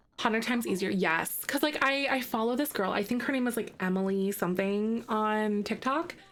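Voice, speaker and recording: Her voice fairly high, a woman talks at a fairly quick pace in an animated tone, with very even loudness and noticeable background noise. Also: ordinary pitch variation, hardly any pauses. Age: 30s. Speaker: video game streamer. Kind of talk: casual live-stream chat while gaming.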